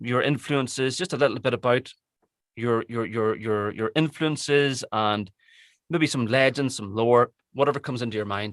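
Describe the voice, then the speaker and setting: Dry and close with no echo in a very clean recording with a silent background, a man with an Irish accent speaks at a moderate pace and medium pitch, with ordinary pitch variation. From Ireland. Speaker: audiobook narrator. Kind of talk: interview.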